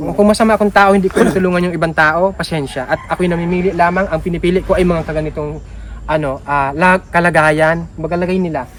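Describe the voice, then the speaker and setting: Loud and very fast, a man speaks with a high pitch and fairly even intonation. Noticeable background noise sits behind him. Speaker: charity vlogger. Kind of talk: casual vlog talk to viewers.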